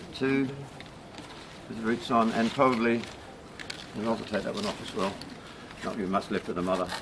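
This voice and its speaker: Over noticeable background noise, a man with a medium pitch and a relaxed tone talks at a fairly quick pace, broken by long, frequent pauses. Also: fairly even intonation. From New Zealand. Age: 60s. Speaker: bromeliad grower. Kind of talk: gardening demonstration. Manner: casual, relaxed.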